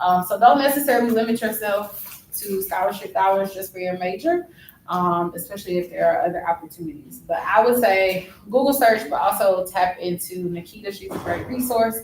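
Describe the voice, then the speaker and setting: Delivered at a fairly quick pace, an unremarkable speaking voice shows ordinary pitch variation. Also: woman, medium pitch for a woman. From Ohio, Dayton area. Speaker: alumna speaking to students. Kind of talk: casual chat. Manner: relaxed, many fillers.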